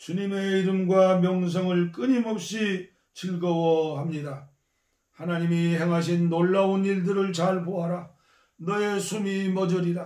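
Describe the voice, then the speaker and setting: Very slowly, a man speaks with a high pitch, a dark, mellow tone and monotone, flat intonation. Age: 70s. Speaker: pastor. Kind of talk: scripture reading.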